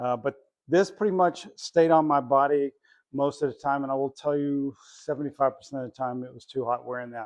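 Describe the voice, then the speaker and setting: A man with an unremarkable speaking voice talks at a fairly quick pace, his loudness swinging widely. The sound is dry and close, with no echo. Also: fairly high pitch for a man, ordinary pitch variation. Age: 60s. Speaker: retired airline worker and finance vlogger. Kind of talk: casual vlog tutorial. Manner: conversational with fillers.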